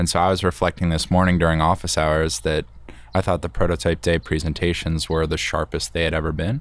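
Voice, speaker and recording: This man's voice is very deep and low, with vocal fry. He talks at a very fast pace with ordinary pitch variation. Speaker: business partner. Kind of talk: casual chat.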